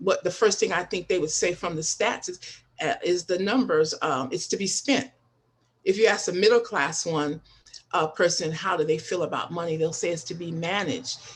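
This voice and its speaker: A woman talks at a moderate pace with a fairly low pitch. She has a normal speaking voice. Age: 60s. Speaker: panelist, welfare trainer. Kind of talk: podcast panel discussion. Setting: live stream.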